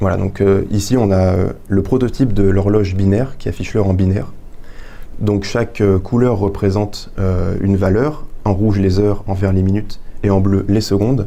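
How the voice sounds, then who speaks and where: A man with a fairly low pitch talks at a moderate pace with fairly even intonation and very even loudness, amid noticeable background noise and audible room echo. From France, Touraine (Indre-et-Loire). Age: 20s. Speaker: engineering student and young inventor. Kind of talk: interview, explaining an invention. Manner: hesitant, many fillers.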